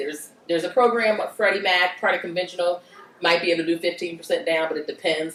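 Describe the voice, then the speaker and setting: Over noticeable background noise, a woman with a fairly low pitch talks at a very fast pace. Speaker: mortgage lender. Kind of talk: workshop Q&A.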